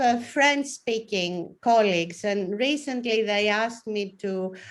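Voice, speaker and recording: Against a quiet background, a woman speaks with a Greek accent. Her pitch is fairly high, with ordinary pitch variation. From Greece. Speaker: professor. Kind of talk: panel discussion.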